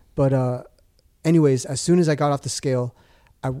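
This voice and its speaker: A man talks at a fairly quick pace in a dark, mellow tone, recorded dry and close with no echo. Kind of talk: casual banter with deadpan one-liner jokes, podcast chat. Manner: deadpan, quick-witted, interjecting punchlines.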